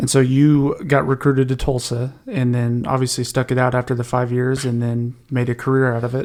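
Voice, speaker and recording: Speaking at a moderate pace, this man has an unremarkable speaking voice at medium pitch. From Oklahoma, Tahlequah. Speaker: podcast host. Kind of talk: casual interview.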